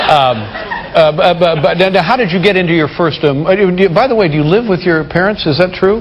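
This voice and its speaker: Over noticeable background noise, a man with an American accent and a high pitch talks at a moderate pace, with ordinary pitch variation and very even loudness. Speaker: talk show host. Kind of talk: late-night talk show interview.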